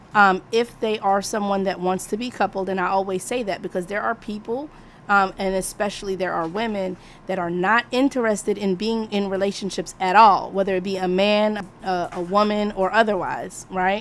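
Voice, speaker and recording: A woman's normal speaking voice at medium pitch, moderate pace and fairly even intonation. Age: 40s. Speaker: live stream discussion host. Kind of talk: casual moderated discussion.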